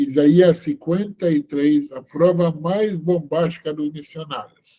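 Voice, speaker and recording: A man's high-pitched, dark, mellow voice with a non-native accent, ordinary pitch variation and a very slow pace. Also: big swings in loudness. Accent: foreign accent in Portuguese. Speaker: rabbi teaching online seminar. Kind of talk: online lecture. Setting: video call webinar. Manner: slow, deliberate; hesitant with many fillers.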